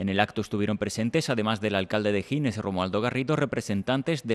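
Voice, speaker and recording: The man's medium-pitched voice moves at a very fast pace with ordinary pitch variation. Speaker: local news reporter. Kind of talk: news reading, scripted narration. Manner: formal, measured.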